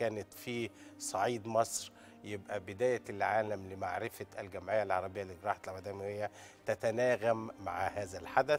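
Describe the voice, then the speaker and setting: Fairly even intonation at a moderate pace, with faint music in the background. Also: man, fairly low pitch for a man. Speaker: guest. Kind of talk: interview answer. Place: studio. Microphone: lapel.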